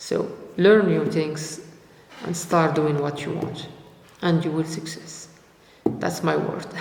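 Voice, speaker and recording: A man with a non-native accent and a fairly high pitch speaks very slowly in a monotone, flat way, with long, frequent pauses, audible room echo and noticeable background noise. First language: not English. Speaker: youtuber, freelancer. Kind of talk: motivational vlog. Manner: halting, many fillers and repetitions.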